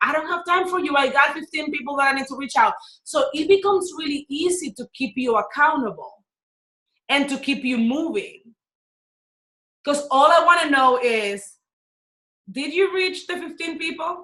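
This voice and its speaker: In a Dominican accent, a woman with a high pitch, lively intonation and an animated tone uses a raised, projected voice, a bright, sharp tone, a moderate pace and long, frequent pauses. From Dominican Republic. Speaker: business and life coach. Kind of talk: webinar teaching.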